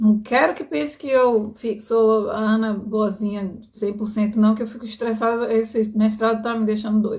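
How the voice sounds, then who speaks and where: A somewhat breathy woman's voice, fairly high and fairly even in intonation, at a moderate pace with hardly any pauses. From Bahia, Brazil. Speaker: skin healing coach. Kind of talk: live stream talk to viewers. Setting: live stream. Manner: casual, conversational.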